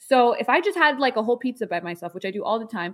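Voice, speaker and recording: In a very clean recording with a silent background, a woman with an American accent speaks with very wide pitch swings. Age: 20s. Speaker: online content creator and lawyer. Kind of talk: interview.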